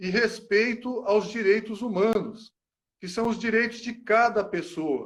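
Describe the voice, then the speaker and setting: Speaking at a very slow pace, a man uses a high voice. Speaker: psychology lecturer. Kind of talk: panel talk. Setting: online live stream.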